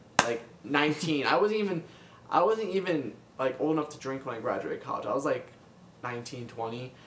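A man speaks at a moderate pace with lively intonation and long, frequent pauses, noticeable background noise behind him. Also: fairly high pitch for a man. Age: 20s. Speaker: freelance comic artist and colorist. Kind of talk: casual interview.

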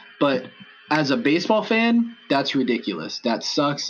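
With music in the background, a man with an American accent talks at a moderate pace, his pitch swinging very widely. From Los Angeles. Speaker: sports fan blogger. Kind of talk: casual chat.

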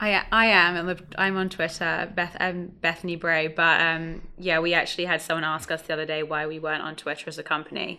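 Speaking in an English accent, a woman with a fairly low pitch and a bright, sharp tone moves at a fairly quick pace with monotone, flat intonation and hardly any pauses. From London area, England. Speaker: startup founder. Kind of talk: interview.

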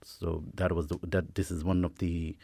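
The recording is very clean, with a silent background. A man with a very deep, low pitch speaks at a moderate pace in a monotone, flat delivery. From India. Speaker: club chairperson. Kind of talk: casual radio interview. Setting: studio. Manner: halting, repetitive fillers.

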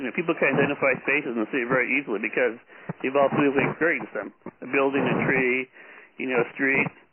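A man with an American accent at a medium pitch and a very fast pace, over noticeable background noise. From Los Angeles. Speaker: city planner and artist. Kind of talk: conference call presentation. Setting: phone call. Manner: halting, many repetitions. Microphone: poor sound quality early in talk.

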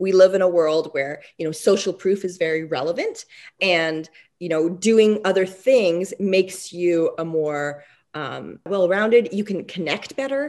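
A woman with a normal speaking voice talks at a fairly slow pace, with a medium pitch and ordinary pitch variation. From Quebec, Canada. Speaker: dentist. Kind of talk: interview. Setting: remote call from home.

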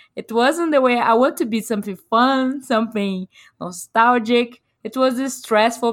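Here is a woman with a Brazilian Portuguese accent. Her pitch is fairly high. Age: 30s. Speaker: video game developer. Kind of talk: casual interview. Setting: remote call. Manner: halting.

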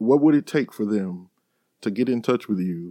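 A man with a Mississippi accent and fairly low pitch, ordinary pitch variation, on a very clean recording with a silent background and a dry, close sound with no echo. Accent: US Southern (Mississippi). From Mississippi Delta, Sunflower County. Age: 40s. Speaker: podcast host. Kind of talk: interview; scripted introduction.

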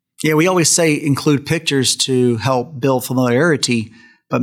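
This man has a plain, everyday voice, pitched in the middle, moving at a moderate speed with ordinary rises and falls. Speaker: podcast host and co-host. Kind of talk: casual panel discussion.

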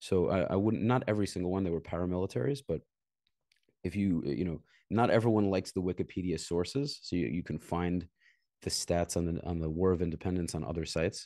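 Very fast speech in a dark, mellow tone with an American accent, against a quiet background. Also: man, very deep, low pitch for a man, ordinary pitch variation. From Brooklyn, New York. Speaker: former soldier. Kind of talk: casual interview.

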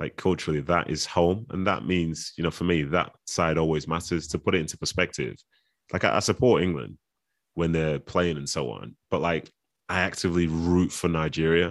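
A man with a Mancunian accent and a very deep, low pitch talks at a moderate pace with ordinary pitch variation against a quiet background. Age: 30s. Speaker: footballer and author. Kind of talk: casual interview. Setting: video call.

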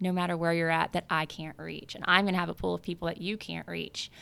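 A woman with a Southern US accent speaks at a fairly low pitch. The recording is very clean, with a silent background. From US South, South Louisiana. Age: 30s. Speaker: real estate agent. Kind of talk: interview. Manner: casual, laughs often.

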